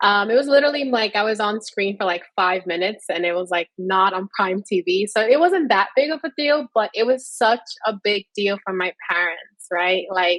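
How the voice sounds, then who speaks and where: In a Spanish accent, a woman with a medium pitch talks at a moderate pace with lively intonation and hardly any pauses, in a dry, close sound with no echo. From New York City. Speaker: tech professional, panelist. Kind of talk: panel discussion.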